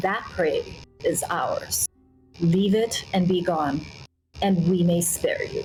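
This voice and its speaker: A woman puts on a gravelly character voice at a medium pitch, speaking at a fairly slow pace with long, frequent pauses. Music plays in the background. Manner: menacing.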